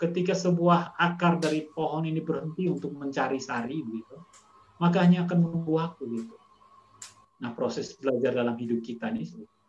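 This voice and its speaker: A man's unremarkable speaking voice, an unremarkable speaking voice with a fairly high pitch, ordinary pitch variation and a fairly quick pace. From Indonesia, Kupang (East Nusa Tenggara). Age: 40s. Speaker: school principal and educator. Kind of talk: casual chat. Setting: video call.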